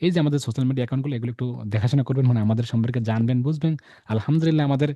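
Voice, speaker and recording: His intonation holds fairly even. The man's medium-pitched voice has a dark, mellow tone. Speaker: online course instructor and channel host. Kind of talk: sales pitch; interview.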